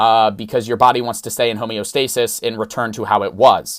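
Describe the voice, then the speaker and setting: The man's voice sits at a medium pitch. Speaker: social media creator. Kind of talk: casual chat. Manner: fast.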